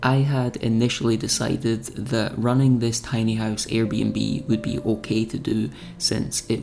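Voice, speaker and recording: A man with a Scottish accent, medium in pitch with ordinary pitch variation, at a fairly slow pace over music in the background. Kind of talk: reflective vlog voice-over.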